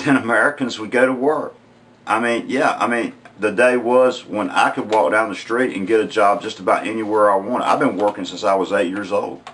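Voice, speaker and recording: With a strong Southern US accent, the speaker talks at a moderate pace with ordinary pitch variation. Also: man. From US South, rural North Carolina. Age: 40s. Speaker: unemployed vlogger. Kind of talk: opinion vlog monologue. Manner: halting, many fillers and repeats.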